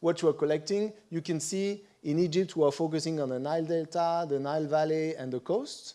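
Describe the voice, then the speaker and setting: A man's fairly high, dark and mellow voice in a French accent, with ordinary pitch variation at a moderate pace, on a very clean recording with a silent background. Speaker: conference presenter on satellite imagery. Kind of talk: conference presentation.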